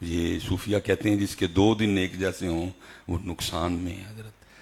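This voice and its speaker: Somewhat breathy, a man's voice is very deep and low. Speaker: Islamic preacher. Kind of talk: religious sermon. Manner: emotional.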